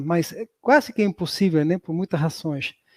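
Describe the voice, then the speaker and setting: With a strong southern Spanish accent, the voice moves at a moderate pace with ordinary pitch variation in a very clean recording with a silent background and a dry, close sound with no echo. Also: man. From southern Spain. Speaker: professor. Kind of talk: lecture.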